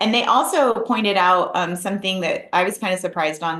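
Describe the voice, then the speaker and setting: A woman speaks with audible room echo. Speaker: wildlife researcher. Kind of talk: webinar lecture. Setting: online webinar. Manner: fast.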